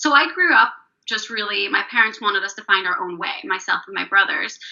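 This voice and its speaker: Speaking in a Northern Irish accent, a woman uses a medium pitch and lively intonation. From Northern Ireland. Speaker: spiritual coach. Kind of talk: interview. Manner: loud.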